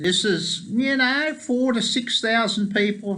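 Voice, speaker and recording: A man with an Australian accent speaks at a very slow pace in a bright, sharp tone. His pitch varies in an ordinary way against a quiet background. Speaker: pro-life activist and lobbyist. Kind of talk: casual video report. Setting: New York, at the UN. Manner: conversational.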